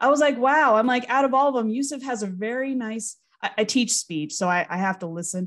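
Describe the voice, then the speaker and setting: A woman speaks fairly quickly in a fairly high voice with lively intonation. The background is quiet. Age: 30s. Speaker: podcast co-host, speech teacher. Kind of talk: casual chat. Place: home room. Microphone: studio mic.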